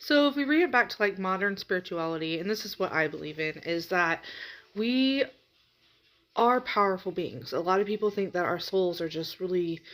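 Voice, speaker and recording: A quiet woman with lively intonation on a very clean recording with a silent background. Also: medium pitch for a woman, moderate pace. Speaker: spiritual reader. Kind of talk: casual vlog talk.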